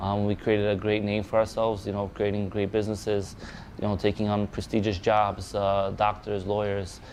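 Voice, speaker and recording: With a slight Polish accent, a man talks fairly quickly in a fairly low, flat monotone. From Poland, raised in New York. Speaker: boxing manager. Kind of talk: documentary interview. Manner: halting, many fillers and repetitions.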